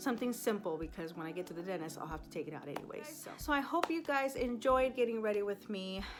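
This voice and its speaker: With music in the background, a woman speaks very fast at a medium pitch. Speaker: beauty and lifestyle vlogger. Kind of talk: casual chat. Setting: at home. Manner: chatty.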